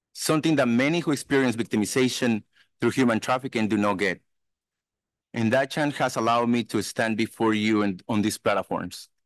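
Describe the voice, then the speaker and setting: At a fairly quick pace, a man speaks with ordinary pitch variation and very even loudness against a quiet background, the sound dry with no echo. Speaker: anti-trafficking consultant and survivor; conference speaker. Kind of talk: keynote testimony. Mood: earnest, personal. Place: hall. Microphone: podium.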